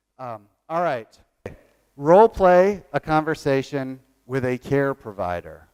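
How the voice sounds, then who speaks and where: In a very clean recording with a silent background, a speaker with a slight Southern US accent talks at a fairly slow pace with lively intonation and big swings in loudness. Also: man, fairly high pitch for a man. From Virginia. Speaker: workshop presenter on training evaluation. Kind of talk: conference workshop talk.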